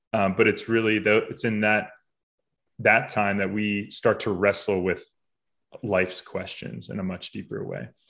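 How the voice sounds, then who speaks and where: A man's ordinary speaking voice with an American accent, fairly low in pitch, with fairly even intonation and a moderate pace, against a quiet background. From Boston area, Massachusetts. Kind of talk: interview conversation.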